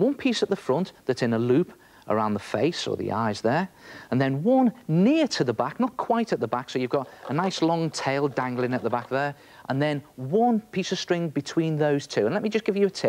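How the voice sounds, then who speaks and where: A man talks at a moderate pace, his pitch making very wide swings. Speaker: presenter. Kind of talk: tutorial. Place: studio.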